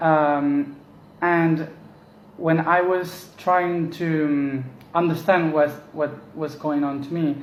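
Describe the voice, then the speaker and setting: With a Spanish accent, a man talks at a very slow pace and a fairly high pitch, his intonation monotone and flat, leaving long, frequent pauses amid audible room echo. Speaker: spiritual teacher. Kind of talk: casual monologue. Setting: at home. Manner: halting.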